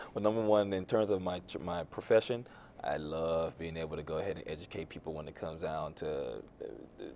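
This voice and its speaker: A man with a Miami accent at a moderate pace, his intonation fairly even. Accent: Miami street accent, still audible. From Miami, Florida. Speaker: youth mentor and financial advisor. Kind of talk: talk show interview.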